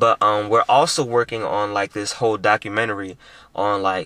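A man speaks at a moderate pace with fairly even intonation, his tone bright and sharp and the sound dry with no echo. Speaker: vlogger. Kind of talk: casual vlog chat. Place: car.

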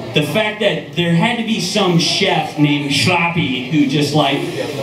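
A man with an American accent, amid loud background noise and audible room echo. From US Midwest, Cincinnati. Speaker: comedian. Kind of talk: profane open-mic stand-up set with crowd asides. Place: stage.

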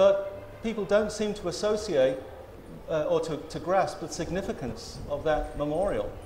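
There is light background noise and audible room echo. A man talks at a moderate pace in a high pitch, with ordinary pitch variation. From Australia. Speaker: historian. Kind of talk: panel discussion. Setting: stage with audience. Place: stage. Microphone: lapel.

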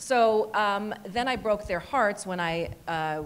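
A woman talks with an American accent and ordinary pitch variation. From US South. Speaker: screenwriter. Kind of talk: panel discussion. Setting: stage with audience. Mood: warm, reflective storytelling. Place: hall. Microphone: handheld.

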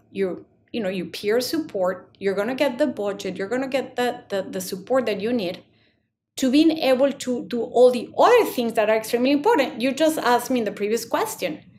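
Fairly quick, high-pitched female speech over light background noise. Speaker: guest. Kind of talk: interview answer. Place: home room. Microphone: webcam.

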